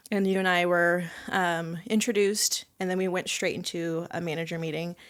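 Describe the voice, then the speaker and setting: The speaker is a woman with a fairly low pitch and a plain, everyday voice. She talks at a moderate pace on a very clean recording with a silent background. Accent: American. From Southern California (Ventura). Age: 30s. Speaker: sommelier and restaurant manager. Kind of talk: casual chat.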